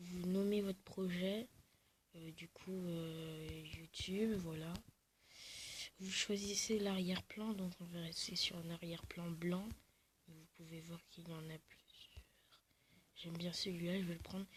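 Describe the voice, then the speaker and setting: A soft-spoken, somewhat breathy woman's voice, fairly low in pitch, with monotone, flat intonation, a very slow pace, long, frequent pauses and big swings in loudness. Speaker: video creator. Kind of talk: tutorial. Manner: halting.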